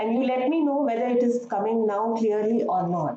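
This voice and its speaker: This woman's voice sits high in pitch. She talks at a moderate pace. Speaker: professor of education. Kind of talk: lecture. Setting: online live session. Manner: hesitant with fillers; louder after mic complaint.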